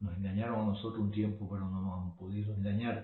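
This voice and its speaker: The pitch of this man's voice is fairly low. He talks at a moderate pace. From Cuba. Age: 60s. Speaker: political commentator. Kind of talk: monologue.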